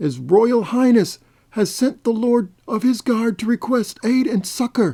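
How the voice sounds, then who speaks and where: A put-on character voice, fairly high in pitch, delivers its lines at a fairly slow pace. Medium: read story.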